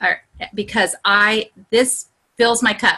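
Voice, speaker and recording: A woman's bright, sharp voice, animated in tone, at a fairly slow pace. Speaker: online group coach. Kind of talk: live video call workshop.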